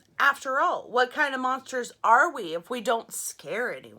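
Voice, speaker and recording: At a moderate pace, a woman uses a put-on character voice pitched high. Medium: read story.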